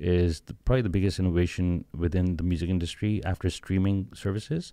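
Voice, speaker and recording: A man talks at a fairly quick pace in a very deep, low pitch with ordinary variation. His tone is dark and mellow against a quiet background. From Pakistan. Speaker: startup founder. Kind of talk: interview.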